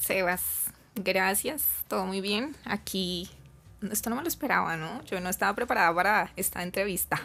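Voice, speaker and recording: A woman speaks with a Bogotá accent in a bright, sharp tone with vocal fry. Her pitch is medium with ordinary variation, and her pace is moderate. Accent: Bogotá Colombian Spanish. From Colombia, Bogotá. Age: 20s. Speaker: flight attendant. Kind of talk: interview.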